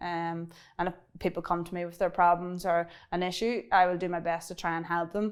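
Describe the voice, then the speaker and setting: In a strong Irish accent, a woman speaks at a fairly low pitch. The recording is very clean, with a silent background. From Ireland. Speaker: cybersecurity business owner. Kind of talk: interview. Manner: fast; halting.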